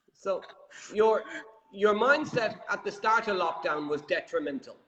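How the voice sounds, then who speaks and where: A man's high-pitched voice with an Irish accent. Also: lively intonation, fairly slow pace. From Ireland. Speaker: property show host. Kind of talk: interview.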